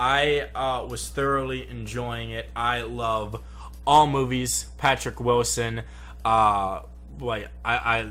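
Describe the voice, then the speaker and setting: At a very slow pace, a man speaks with a very deep, low pitch and a bright, sharp tone. His pitch swings very widely, and room echo is audible. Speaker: YouTube movie reviewer. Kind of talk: casual movie review chat. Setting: home studio.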